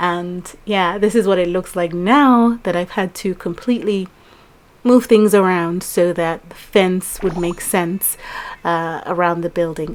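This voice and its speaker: A quiet woman's voice, fairly low in pitch, with fairly even intonation. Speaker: mobile game let's play youtuber. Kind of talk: gameplay commentary. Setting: at home, early morning. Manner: subdued, quiet.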